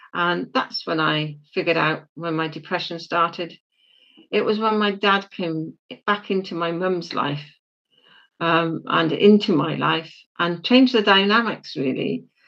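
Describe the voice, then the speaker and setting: A woman with a British accent, fairly low in pitch, at a fairly slow pace with ordinary pitch variation. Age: 70s. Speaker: spiritual leader. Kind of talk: interview about life story. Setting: podcast.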